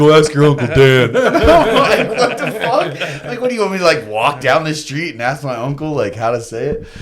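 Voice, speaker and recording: Room echo is audible, and background noise is noticeable. The man sounds animated, with a fairly high pitch and a fairly quick pace. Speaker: skateboarder and radio personality. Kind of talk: casual chat. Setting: studio.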